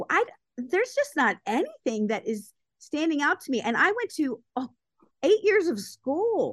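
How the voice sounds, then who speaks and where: A woman's extremely high voice with very wide pitch swings and an American accent, at a moderate pace, in a dry, close sound with no echo. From Baltimore, Maryland. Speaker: entrepreneur and motivational speaker. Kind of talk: casual chat.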